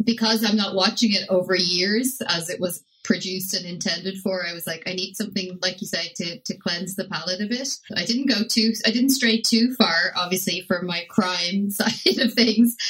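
With music in the background, a woman of medium pitch talks at a moderate pace with hardly any pauses. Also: ordinary pitch variation. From Ireland. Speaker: podcast guest and TV show reviewer. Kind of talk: casual chat, show review. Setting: remote call from Sardinia.

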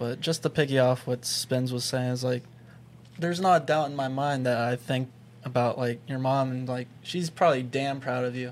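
Speaking at a moderate pace with an American accent, a man has an unremarkable speaking voice, a medium pitch and fairly even intonation. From Pittsburgh, Pennsylvania. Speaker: podcast host. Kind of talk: casual chat.

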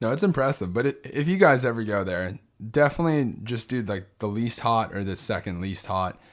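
An American-accented man at a medium pitch, fairly quick and with lively intonation, in a very clean recording with a silent background. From Texas, San Benito (Rio Grande Valley). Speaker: travel podcast co-host. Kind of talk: casual chat. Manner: animated.

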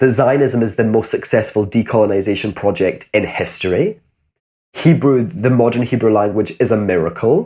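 Speaking at a moderate pace with a Glasgow accent, a man sounds somewhat breathy, with a dark, mellow tone and lively intonation, in a very clean recording with a silent background. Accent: Glasgow Scottish. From Scotland, Glasgow. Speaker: author and educator. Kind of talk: interview.

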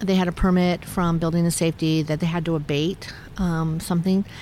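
A woman talks at a moderate pace with an American accent, in an ordinary speaking voice. Her pitch is medium. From Northern California. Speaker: historic preservation advocate. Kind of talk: interview.

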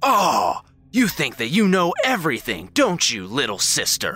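A man puts on a character voice pitched high. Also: moderate pace. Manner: theatrical, menacing.

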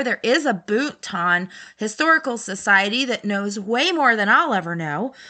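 A woman speaks in an unremarkable speaking voice with an American accent. Her pitch is fairly high and her pace moderate. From US, Baltimore. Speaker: podcast host, vintage collector. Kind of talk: solo podcast monologue. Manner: casual, many filler words.

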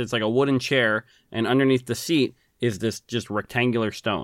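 A man with an unremarkable speaking voice at a fairly quick pace, ordinary pitch variation, a dry, close sound with no echo, and a very clean recording with a silent background. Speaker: podcast co-host.

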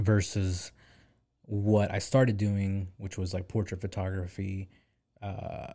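A man with an American accent speaks in a very deep, low pitch and a dark, mellow tone, somewhat breathy and monotone with flat intonation. The recording is very clean, with a silent background. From US South, Arkansas (Pine Bluff). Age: 20s. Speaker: photographer. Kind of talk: casual chat.

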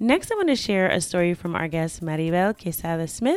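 Lively intonation marks an unremarkable speaking voice on a very clean recording with a silent background. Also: woman. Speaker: podcast host. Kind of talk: podcast intro and episode commentary.

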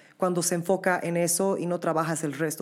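In a very clean recording with a silent background, a woman talks at a medium pitch and a moderate pace. Hers is a normal speaking voice. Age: young. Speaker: podcast host and opera singer. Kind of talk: interview.

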